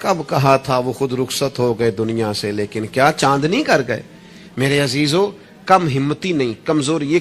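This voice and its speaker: A man is speaking. His intonation is lively. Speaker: Islamic preacher. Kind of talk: religious sermon. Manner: emotional, impassioned.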